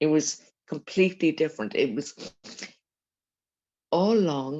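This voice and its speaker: Speaking with a Dublin accent at a fairly slow pace, a woman uses a very deep, low pitch, a dark, mellow tone and lively intonation. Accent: Dublin Irish. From Ireland, Dublin. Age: 70s. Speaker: eyewitness. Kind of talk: interview testimony. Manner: halting.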